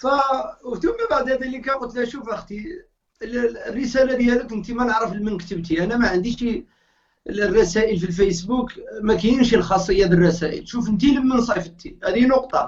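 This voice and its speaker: A man speaks at a moderate pace with ordinary pitch variation. His voice is extremely high in pitch. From Morocco. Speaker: Islamic preacher. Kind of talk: interview, storytelling.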